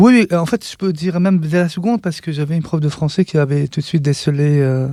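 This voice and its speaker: A man with a fairly high pitch and a dark, mellow tone races along at a very fast pace with ordinary pitch variation. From western Algeria, Relizane. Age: 50s. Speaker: artist and writer. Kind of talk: interview. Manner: halting, many hesitations.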